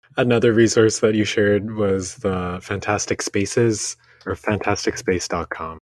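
A man with an ordinary speaking voice talks at a moderate pace, fairly low in pitch with fairly even intonation. The sound is dry and close, with no echo. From Vancouver, Canada (born in Indonesia). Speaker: podcast co-host. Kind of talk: casual interview conversation.

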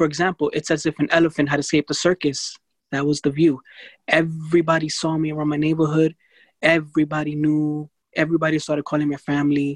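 Recorded dry and close with no echo against a quiet background, a man in an American accent speaks at a very fast pace, his fairly high pitch held in monotone, flat intonation. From New York City. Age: 20s. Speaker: blindness advocate. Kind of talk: interview.

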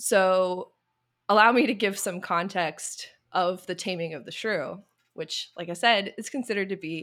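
A woman with an unremarkable speaking voice talks at a moderate pace and medium pitch, with ordinary pitch variation. Her loudness swings widely, and the recording is very clean, with a silent background. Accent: American. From US South. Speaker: YouTuber. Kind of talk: casual chat.

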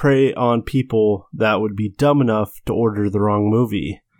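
With a plain, everyday voice, a man speaks at a moderate pace with ordinary pitch variation in a very clean, dry, close recording with a silent background and no echo. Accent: American. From US, farming community. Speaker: podcast co-host, forester. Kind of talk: casual chat.

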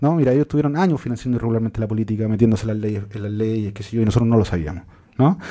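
In a Chilean accent, a man talks at a very fast pace. His tone is dark and mellow, at a medium pitch with ordinary pitch variation. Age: 30s. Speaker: journalist and author. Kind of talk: interview.

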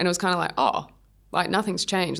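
Speaking at a very fast pace with an Australian accent, a woman is heard on a very clean recording with a silent background. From Sydney, Australia. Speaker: professional athlete. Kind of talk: interview.

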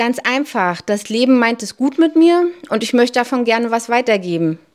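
High-pitched and lively in her intonation, a woman talks at a moderate pace. The recording is very clean, with a silent background. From Hamburg, Barmbek. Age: 40s. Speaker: volunteer, civil servant. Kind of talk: interview.

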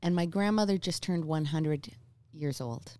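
A woman speaks fairly quickly in a fairly low voice with a dark, mellow tone. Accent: Newfoundland. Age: 40s. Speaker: singer-songwriter. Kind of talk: casual chat.

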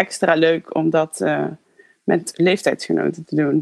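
There is vocal fry in this woman's voice as she speaks at a moderate pace, the sound dry and close with no echo. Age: 30s. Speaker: former pedagogy student. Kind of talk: personal reminiscence.

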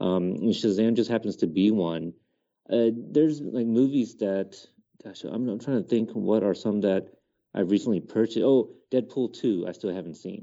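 A man talks at a moderate pace in a plain, everyday voice, fairly low in pitch with ordinary pitch variation. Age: 30s. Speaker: podcaster, film commentator. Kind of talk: casual chat.

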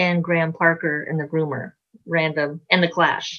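A woman with an American accent, fairly low in pitch, at a fairly slow pace. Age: 60s. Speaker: rock musician, singer and bassist. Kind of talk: casual interview chat. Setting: video call.

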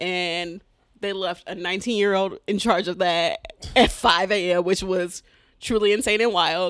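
In an American accent, a woman with an unremarkable speaking voice speaks at a medium pitch and a fairly slow pace, her intonation fairly even, on a very clean recording with a silent background. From Detroit, Michigan. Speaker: comedian. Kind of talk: casual chat. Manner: laughs often.

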